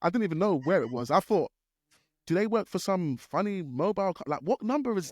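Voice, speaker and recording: Fairly quick and high-pitched, a man speaks with a British accent and very wide pitch swings. The sound is dry and close with no echo, in a very clean recording with a silent background. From UK. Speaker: wedding DJ. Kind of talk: casual chat.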